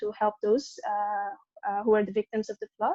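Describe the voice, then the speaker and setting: A woman talks at a fairly quick pace with a fairly high pitch. Her tone is dark and mellow, and the sound is dry and close with no echo. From Sudan. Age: 20s. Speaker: climate activist. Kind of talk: webinar presentation. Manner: hesitant, many fillers.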